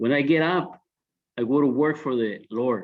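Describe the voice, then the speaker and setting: A man with a non-native accent, very slow delivery, and ordinary pitch variation. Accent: foreign. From born abroad, came to US at seventeen. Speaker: social services professional. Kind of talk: panel discussion.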